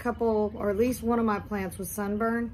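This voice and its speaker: A somewhat breathy woman's voice, fairly high in pitch, at a fairly quick pace. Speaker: succulent grower and YouTuber. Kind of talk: tutorial. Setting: indoors in husband's mancave. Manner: casual.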